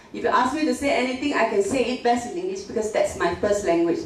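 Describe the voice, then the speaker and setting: Amid noticeable background noise and audible room echo, a woman talks in a high voice with very wide pitch swings. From northern Malaysia (Penang area). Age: 50s. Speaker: professor. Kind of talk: lecture. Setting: classroom with audience. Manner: code-switching English and Mandarin.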